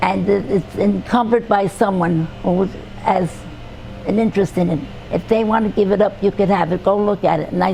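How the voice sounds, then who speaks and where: A woman with a New York accent talks at a fairly quick pace and with fairly even intonation. Music plays in the background. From New York City (Brooklyn). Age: 80s+. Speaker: retired restaurant owner. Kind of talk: oral history interview. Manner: halting.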